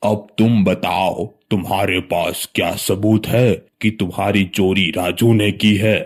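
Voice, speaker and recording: Using a cartoonish character voice, a man speaks fairly slowly at a fairly low pitch, monotone and flat, with very even loudness and hardly any pauses. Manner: authoritative.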